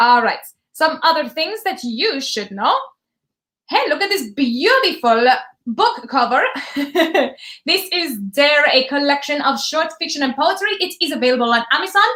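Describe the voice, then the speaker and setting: Raised and projected, a woman's high, bright, sharp voice with an American accent moves at a moderate pace through very wide pitch swings and long, frequent pauses. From US East Coast. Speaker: live stream host. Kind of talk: casual chat.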